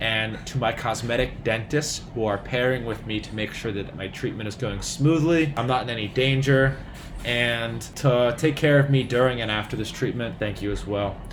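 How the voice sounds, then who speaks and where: Room echo is audible as a man speaks. His pitch is medium and his pace moderate. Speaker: doctor vlogger. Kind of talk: casual vlog. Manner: animated.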